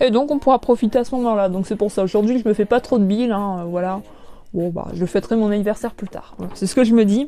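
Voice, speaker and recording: Her voice is fairly high yet dark and mellow, as this woman talks very fast with ordinary pitch variation. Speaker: YouTuber and collector. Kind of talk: live stream chat with viewers. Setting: live stream from home. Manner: loud; hesitant, many fillers.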